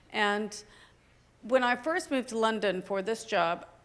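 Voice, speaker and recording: Heard on a very clean recording with a silent background, a woman with an American accent uses a normal speaking voice, fairly high in pitch, at a moderate pace with ordinary pitch variation. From United States. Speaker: policy expert, panelist. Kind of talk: panel discussion.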